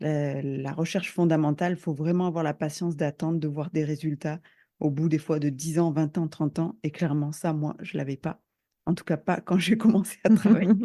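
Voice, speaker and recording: Her voice is very deep and low for a woman, with a dark, mellow tone, fairly even intonation and a moderate pace. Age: 40s. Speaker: business consultant and coach. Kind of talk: podcast interview.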